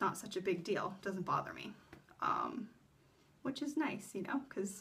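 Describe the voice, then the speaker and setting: A woman with an American accent speaks in a bright, sharp tone with ordinary pitch variation. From US. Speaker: vlogger. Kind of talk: casual vlog talk. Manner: filler-heavy, rambling speech.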